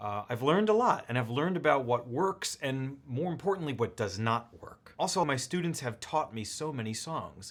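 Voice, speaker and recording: A man in an ordinary speaking voice, fairly high-pitched, at a moderate pace with hardly any pauses. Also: lively intonation. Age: 30s. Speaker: piano teacher. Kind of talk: tutorial.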